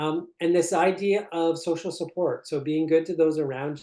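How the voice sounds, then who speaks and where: In a Canadian accent, the voice carries a dark, mellow tone. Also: man. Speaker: concussion researcher and professor. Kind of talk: webinar lecture. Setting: online webinar. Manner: fast.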